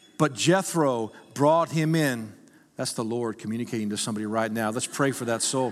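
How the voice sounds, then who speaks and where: A man speaks in an animated tone at a medium pitch. Music plays in the background. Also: ordinary pitch variation, moderate pace. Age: 50s. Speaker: pastor. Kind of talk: sermon. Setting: church.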